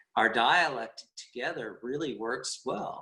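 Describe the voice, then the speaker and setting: A man speaks with a Southern US accent at a very slow pace. His tone is bright and sharp. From California, Richmond. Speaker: musician. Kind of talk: interview. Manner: halting.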